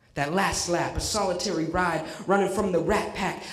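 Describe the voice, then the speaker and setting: Noticeable background noise sits behind a man with a high pitch. He speaks at a moderate pace in a monotone, flat intonation. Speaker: slam poet. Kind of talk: poetry slam performance.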